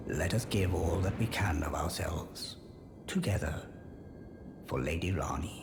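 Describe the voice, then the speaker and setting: A man uses a put-on character voice, very deep and low in pitch, at a moderate pace. Clear background noise and clear echo surround him. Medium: machinima. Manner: warm, dignified.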